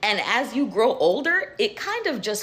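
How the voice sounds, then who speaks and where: Pitch leaping very widely up and down, with background noise clearly present. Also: woman. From Jamaica. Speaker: life coach, video creator. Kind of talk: casual monologue to camera. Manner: conversational, candid.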